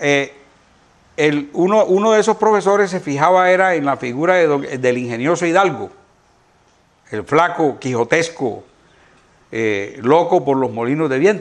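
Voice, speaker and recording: Intonation stays lively while the speech unfolds at a fairly slow pace. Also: man. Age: 60s. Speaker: veterinarian and donkey expert. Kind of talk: interview chat. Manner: hesitant with fillers.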